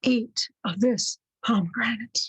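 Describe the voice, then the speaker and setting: A woman puts on a character voice, pitched fairly high. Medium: read story. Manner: commanding.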